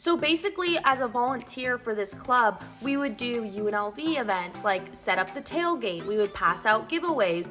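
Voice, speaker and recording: Music plays in the background as a woman with an American accent speaks in an animated tone at a moderate pace. Her pitch is fairly high and her intonation lively. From Southern California. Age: 20s. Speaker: vlogger. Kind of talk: casual advice vlog.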